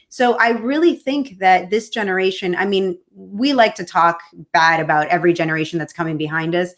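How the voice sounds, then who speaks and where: An ordinary speaking voice from a woman, medium in pitch, fairly quick, and lively in intonation. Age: 40s. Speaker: libertarian political candidate. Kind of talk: interview conversation.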